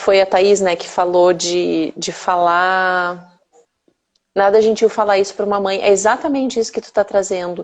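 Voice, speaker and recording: A woman speaks with a southern Brazilian accent. She keeps a moderate pace. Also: medium pitch for a woman. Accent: southern Brazilian (gaúcho). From interior of Rio Grande do Sul, Brazil. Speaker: mothers' mentor. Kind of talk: casual chat.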